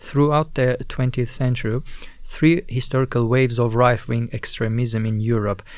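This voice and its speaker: A man's normal speaking voice, medium in pitch, at a moderate pace. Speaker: student radio co-host. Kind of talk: scripted narration.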